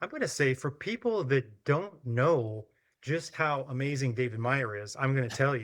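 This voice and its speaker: On a very clean recording with a silent background, a man speaks in a plain, everyday voice at a moderate pace with lively intonation. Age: 60s. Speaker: martial arts instructor. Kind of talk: interview conversation.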